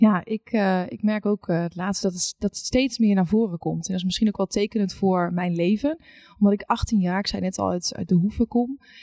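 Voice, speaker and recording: A woman's dark, mellow, somewhat breathy voice at a fairly quick pace, with ordinary pitch variation and a dry, close sound with no echo. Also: medium pitch for a woman. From Netherlands, rural village. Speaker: recruitment account manager. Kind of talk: panel discussion.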